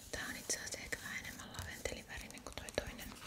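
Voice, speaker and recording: Whispering, a woman speaks at a fairly quick pace. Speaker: ASMR creator. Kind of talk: ASMR shopping haul. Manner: whispered. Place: home room.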